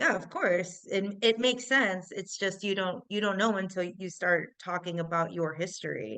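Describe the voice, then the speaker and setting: A woman with an American accent speaks at a medium pitch and a moderate pace, in an unremarkable speaking voice with ordinary pitch variation. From US Midwest, Chicago. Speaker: tech entrepreneur. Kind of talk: interview.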